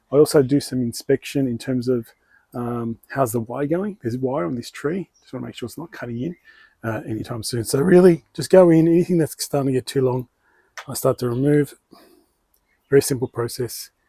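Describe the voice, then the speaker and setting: In a strong Australian accent, a man talks at a fairly quick pace and medium pitch, his dark, mellow tone showing ordinary pitch variation and big swings in loudness, in a dry, close sound with no echo. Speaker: bonsai hobbyist YouTuber. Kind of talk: tutorial. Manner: casual, hesitant with fillers.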